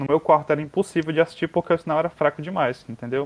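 Here a man talks at a very fast pace. His pitch is fairly high. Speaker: geology student. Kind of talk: casual chat.

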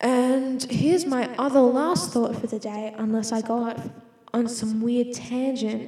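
Amid noticeable background noise and audible room echo, a woman with an Australian accent speaks at a fairly slow pace in a high pitch with fairly even intonation. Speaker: solo podcaster. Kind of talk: casual monologue. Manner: rambling, self-interrupting.

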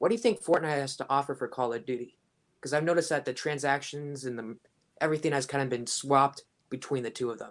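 In a very clean recording with a silent background, a man with an American accent talks at a very fast pace, his fairly high pitch showing ordinary variation. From Washington State. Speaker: viewer asking questions. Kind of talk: casual questions on live stream. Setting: call into live stream.

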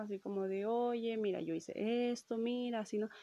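Against a quiet background, a woman with a Mexican accent talks at a moderate pace and a fairly high pitch. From Mexico. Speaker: podcast host. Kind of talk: storytelling monologue. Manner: casual, with many fillers.

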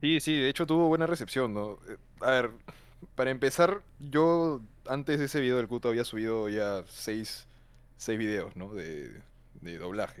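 This man has a medium pitch and lively intonation. He talks at a fairly slow pace. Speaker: film student. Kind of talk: casual chat. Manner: shy, hesitant.

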